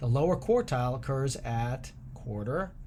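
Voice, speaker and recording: This man's voice sits at a medium pitch. It comes across as somewhat breathy. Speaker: math teacher. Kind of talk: tutorial.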